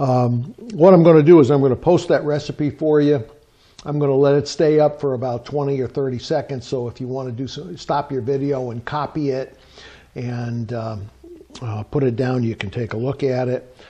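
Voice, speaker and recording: At a moderate pace and medium pitch, a man speaks in a dark, mellow, somewhat breathy tone with ordinary pitch variation. His loudness swings widely. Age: 70s. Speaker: home cook, retired military. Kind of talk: cooking tutorial. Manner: casual, halting with many fillers.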